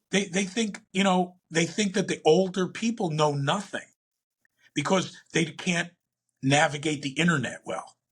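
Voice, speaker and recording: A man's high-pitched voice at a fairly slow pace. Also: ordinary pitch variation. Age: 60s. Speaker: entrepreneur and investor. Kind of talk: interview.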